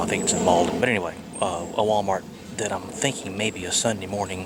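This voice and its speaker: A man talks at a fairly quick pace in a fairly low, monotone voice with flat intonation. Audible room echo and noticeable background noise fill the recording. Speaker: RV travel vlogger. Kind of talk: casual vlog. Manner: quiet.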